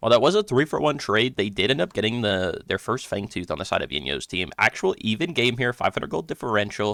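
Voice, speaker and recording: An animated man races along at a very fast pace with hardly any pauses, his pitch swinging very widely over a layer of vocal fry. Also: medium pitch for a man. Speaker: esports caster and streamer. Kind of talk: live commentary. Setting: home live stream.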